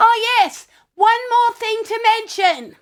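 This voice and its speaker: Using a squeaky put-on character voice, a woman speaks at an extremely high pitch, a fairly slow pace and with fairly even intonation. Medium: audio drama. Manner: chatty, bossy.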